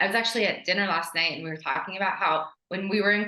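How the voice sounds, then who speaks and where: A woman is speaking. She has a New York accent. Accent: American (New York). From New York (immigrated from Ukraine at age 3). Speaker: brand strategist. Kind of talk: podcast interview. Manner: casual, animated.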